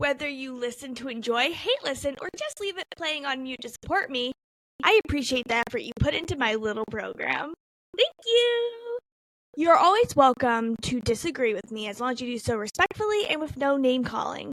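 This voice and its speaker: A woman with an American accent speaks at a moderate pace, high-pitched, with lively intonation and big swings in loudness. The sound is dry and close with no echo. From Cleveland area, Ohio, US. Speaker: podcast host. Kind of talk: scripted intro.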